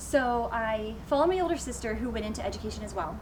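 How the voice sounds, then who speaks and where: Over noticeable background noise and audible room echo, a woman speaks at a fairly quick pace with an American accent. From France (American family, raised abroad). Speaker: high school French teacher. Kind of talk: interview.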